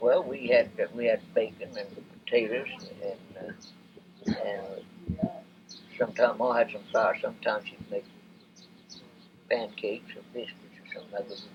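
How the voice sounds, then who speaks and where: Over noticeable background noise, a man speaks at a moderate pace with big swings in loudness and long, frequent pauses. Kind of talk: interview answer.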